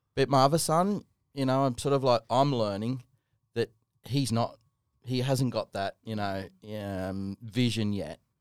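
In an Australian accent, a man speaks at a fairly slow pace with long, frequent pauses, a medium pitch and ordinary pitch variation, in a very clean recording with a silent background and a dry, close sound with no echo. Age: 40s. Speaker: podcast co-host, flooring company manager. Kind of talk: casual chat.

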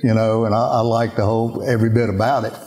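A man with a Louisiana accent at a moderate pace, over noticeable background noise. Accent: Louisiana Southern US. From Louisiana, Baton Rouge. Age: 70s. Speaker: former football player and restaurant owner. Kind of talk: interview. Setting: at a home with animals in background.

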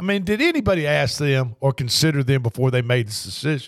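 A man's fairly high-pitched voice at a moderate pace, in a very clean recording with a silent background. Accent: Tennessee. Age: 60s. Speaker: sports radio host. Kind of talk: casual sports talk. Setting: studio.

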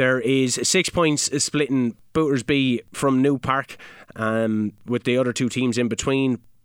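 A man in a Kilkenny Irish accent, medium-pitched and fairly slow, with fairly even intonation and very even loudness, on a very clean recording with a silent background and a dry, close sound with no echo. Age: 30s. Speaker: local soccer podcast co-host and club player. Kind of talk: results and fixtures rundown; casual chat.

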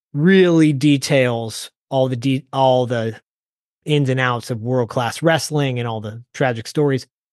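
With an American accent, a man talks in a plain, everyday voice at medium pitch with ordinary pitch variation, recorded dry and close with no echo over a quiet background. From Detroit, Michigan. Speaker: wrestling podcast host. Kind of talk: casual chat.

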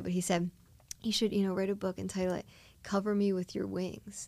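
A woman with an American accent at medium pitch, very fast in pace with fairly even intonation, on a very clean recording with a silent background. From Delaware County, Pennsylvania. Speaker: faith speaker and outreach volunteer. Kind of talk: casual interview.

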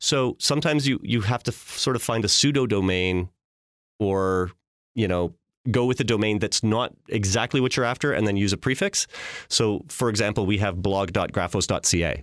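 A man speaks at a moderate pace and fairly low pitch, with ordinary pitch variation and very even loudness. The recording is very clean and dry, close with no echo, over a silent background. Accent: Canadian Prairie. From Canada, Saskatchewan (Regina). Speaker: branding agency executive. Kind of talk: podcast interview.

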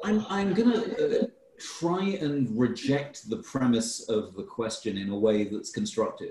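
Here a man speaks at a very slow pace with a fairly high pitch. His pitch swings very widely. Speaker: food system scholar. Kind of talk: online talk Q&A. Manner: stammering with fillers.

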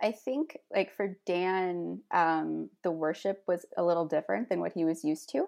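A woman's plain, everyday voice with a Canadian accent, medium pitch and a fairly slow pace. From Ontario, Canada (St. Catharines). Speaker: church member, reconciliation team volunteer. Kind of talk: casual interview.

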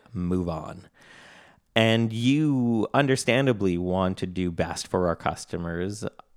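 Recorded very cleanly against a silent background, with a dry, close sound and no echo, a man with a Canadian accent speaks at a very slow pace with ordinary pitch variation. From Canada. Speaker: podcast co-host, software co-founder. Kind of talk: casual chat.

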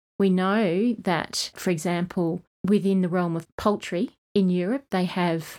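A woman at medium pitch, talking at a fairly slow pace with fairly even intonation, on a very clean recording over a silent background. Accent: Australian. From Australia, East Kimberley (Western Australia). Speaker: program director. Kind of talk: interview.

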